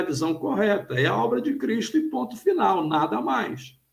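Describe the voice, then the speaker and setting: This man talks at a moderate pace. His high voice makes very wide pitch swings. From Brazil, Rio de Janeiro state (Petrópolis). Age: 60s. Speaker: pastor and theologian. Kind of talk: interview on live stream.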